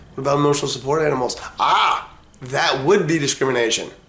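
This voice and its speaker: Talking very fast with fairly even intonation, the man is heard against noticeable background noise. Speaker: property manager. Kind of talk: podcast talk. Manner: casual, rambling.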